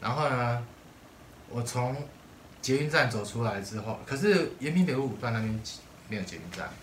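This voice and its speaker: Long, frequent pauses at a moderate pace, with audible room echo. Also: man, medium pitch for a man. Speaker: podcast co-host. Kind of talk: casual chat.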